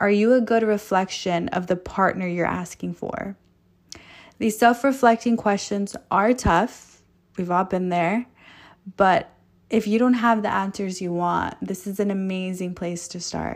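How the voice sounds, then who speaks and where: In a Californian accent, a woman speaks at a fairly slow pace with medium pitch and fairly even intonation, on a very clean recording with a silent background. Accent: Californian American English. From Los Angeles. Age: 20s. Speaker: podcast host. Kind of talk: motivational monologue. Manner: casual, laughing.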